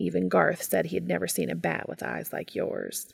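A woman's put-on character voice, husky and rough-edged with vocal fry, fairly low in pitch, with fairly even intonation at a moderate pace

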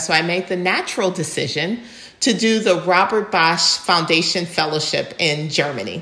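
A woman's fairly quick speech at a fairly low pitch in an American accent, with audible room echo and noticeable background noise. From US Midwest, Ann Arbor, Michigan. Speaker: development finance executive. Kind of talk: interview.

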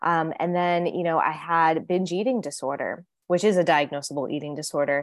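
Speaking at a fairly quick pace, a woman has an ordinary speaking voice with a fairly low pitch and ordinary pitch variation. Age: 30s. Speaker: eating and fitness coach, author. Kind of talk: interview conversation.

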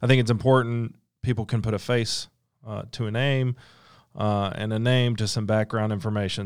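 A man with a normal speaking voice talks at a medium pitch and a moderate pace with fairly even intonation, on a very clean recording with a silent background. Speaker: lawyer. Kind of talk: casual interview. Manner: informal, conversational.

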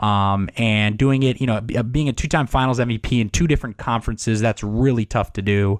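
In a very clean recording with a silent background and a dry, close sound with no echo, a man with an ordinary speaking voice and an American accent talks at a medium pitch and fairly quick pace, with hardly any pauses and very even loudness. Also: ordinary pitch variation. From Miami, Florida. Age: 20s. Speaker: sports podcast host. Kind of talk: casual chat.

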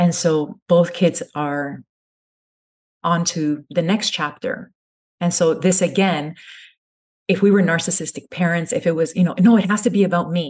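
This woman's voice is fairly low and somewhat breathy. She keeps a moderate pace, broken by long, frequent pauses. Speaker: family content creator. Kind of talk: interview. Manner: calm; soft-spoken.

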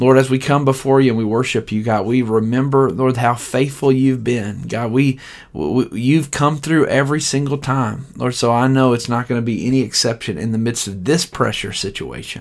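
A man with a plain, everyday voice talks at a moderate pace and medium pitch. There are hardly any pauses, and his pitch varies in an ordinary way. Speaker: church livestream devotional leader. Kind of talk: fervent prayer. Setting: online livestream. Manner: earnest, heartfelt, pleading; warm, encouraging.

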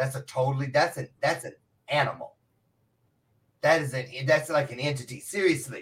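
Fairly quick but broken by long, frequent pauses, a man's somewhat breathy, fairly high-pitched voice shows big swings in loudness. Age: 50s. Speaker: motivational speaker. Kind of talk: casual chat. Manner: animated.

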